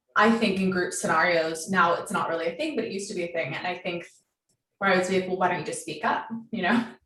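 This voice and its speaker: Speech comes at a very fast pace with ordinary pitch variation. Audible room echo surrounds it. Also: woman, medium pitch for a woman. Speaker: love and relationship coach. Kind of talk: podcast interview conversation. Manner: vibrant, outgoing.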